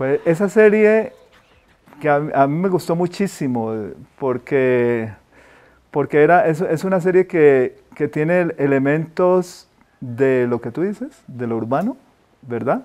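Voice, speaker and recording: A man's fairly high, lively voice at a very slow pace. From Colombia, Cali. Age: 60s. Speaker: painter. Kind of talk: interview. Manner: halting.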